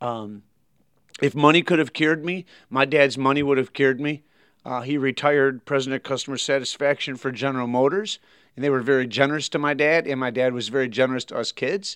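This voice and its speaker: A man with a Michigan accent speaks at a very fast pace with a fairly high pitch and fairly even intonation. The background is quiet and the sound is dry and close, with no echo. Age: 40s. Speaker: pastor. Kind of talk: interview.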